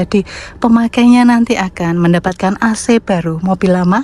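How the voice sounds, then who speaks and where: With a Javanese accent, a woman speaks at medium pitch and a moderate pace over noticeable background noise. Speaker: private car seller, vlogger. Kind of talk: casual product walkthrough vlog. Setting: inside and around a parked car, outdoors under a tree. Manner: casual, chatty.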